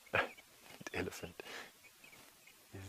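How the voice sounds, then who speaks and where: Whispering from a man. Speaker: safari guide. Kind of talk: live wildlife commentary on a bushwalk. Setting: outdoors on foot in the bush. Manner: soft-spoken.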